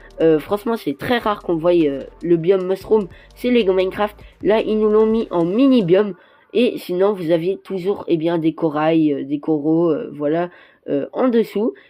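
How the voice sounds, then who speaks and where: Over music in the background, the voice moves at a fairly slow pace with lively intonation. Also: woman, medium pitch for a woman. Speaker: toy review youtuber. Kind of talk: product presentation over images. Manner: hesitant, many fillers.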